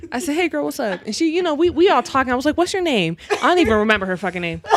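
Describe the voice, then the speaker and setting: A woman talks at a very fast pace with a high pitch that swings very widely. Noticeable noise fills the background. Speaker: podcast co-host. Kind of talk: casual chat. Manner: animated.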